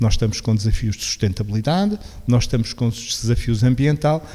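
The clip features an ordinary speaking voice. Its delivery is fairly quick. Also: man. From Portugal, Beja (Alentejo). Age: 60s. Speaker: local government veteran and social innovation agent. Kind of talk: radio interview.

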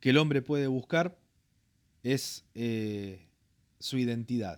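Long, frequent pauses break up a man's very slow, medium-pitched speech, which has ordinary pitch variation. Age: 40s. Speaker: pastor. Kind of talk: interview testimony. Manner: halting, frequent fillers.

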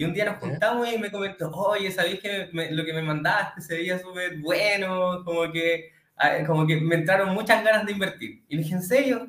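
The pace is moderate. Pitch variation is ordinary. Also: man, high pitch for a man. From Chile, Santiago. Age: 20s. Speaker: electrical engineer, client testimonial. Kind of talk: testimony.

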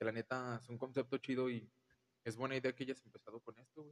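Medium male pitch with a dry, close sound and no echo. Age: 20s. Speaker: podcast guest, friend of host. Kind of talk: casual chat.

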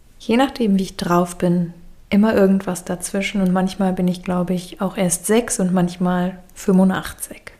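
A woman talks at a medium pitch in a normal speaking voice. Her pace is fairly slow and her intonation fairly even. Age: 30s. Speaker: podcaster. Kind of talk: personal monologue. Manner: reflective.

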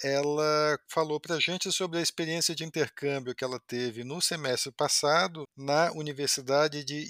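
A bright, sharp tone at a fairly slow pace with ordinary pitch variation, in a very clean recording with a silent background and a dry, close sound without echo. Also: man. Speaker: podcast host. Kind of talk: interview.

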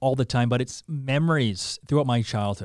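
In a Canadian accent, a man has an unremarkable speaking voice with a fairly high pitch and lively intonation at a moderate pace. The recording is very clean, with a silent background. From Saskatoon and Calgary, western Canada. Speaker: content creator and radio personality. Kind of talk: casual interview.

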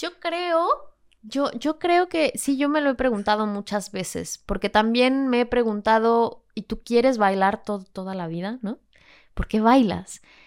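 A woman with an ordinary speaking voice talks at a fairly slow pace, fairly high in pitch with lively intonation. The recording is very clean, with a silent background. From Mexico City. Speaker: flamenco dancer. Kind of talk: interview.

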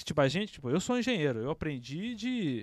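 His pitch swings very widely as this man speaks. The recording is very clean with a silent background, dry and close with no echo. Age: 20s. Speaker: podcast host. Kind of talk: casual chat. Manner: animated.

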